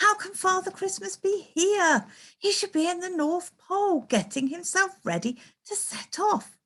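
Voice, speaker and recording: A woman uses a put-on character voice that is squeaky and extremely high in pitch. She talks at a moderate pace. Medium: read story.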